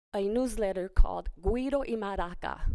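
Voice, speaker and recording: With a Spanish accent, a woman speaks at a moderate pace using ordinary pitch variation. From US Northeast, Pennsylvania, Puerto Rican family. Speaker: cultural group leader, honoree. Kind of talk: press conference speech.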